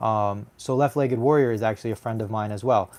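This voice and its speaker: At a fairly quick pace, a man speaks at a medium pitch with ordinary pitch variation on a very clean recording with a silent background. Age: 20s. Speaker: amputee YouTuber. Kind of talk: live stream chat answering viewer comments. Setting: live stream from home. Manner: articulate.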